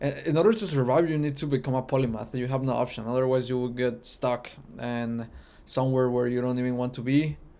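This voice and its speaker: With a Spanish accent, a man talks at a fairly quick pace. His medium-pitched voice has a dark, mellow tone. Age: 20s. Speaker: vlogger. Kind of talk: personal reflection monologue. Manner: halting with fillers.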